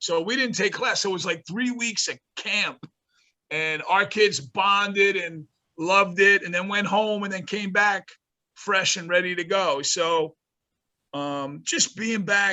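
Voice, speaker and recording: In a New York accent, a man speaks at a high pitch and a fairly slow pace. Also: ordinary pitch variation. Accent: New York metro. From New Jersey, North Bergen. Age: 60s. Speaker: college basketball coach. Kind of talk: interview.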